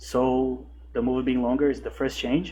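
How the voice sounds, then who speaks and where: The man speaks with a non-native accent. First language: not English. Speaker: horror movie reviewer. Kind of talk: video essay commentary. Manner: some hesitations and repeated words.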